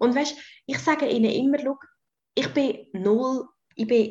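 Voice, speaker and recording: Speaking very slowly with a Swiss accent, a woman has a dark, mellow tone and vocal fry. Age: 20s. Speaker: nurse and coach. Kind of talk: casual interview.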